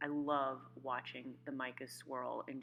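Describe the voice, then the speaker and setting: A woman speaks with an American accent over music in the background. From New York. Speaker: soap maker. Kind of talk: tutorial voiceover.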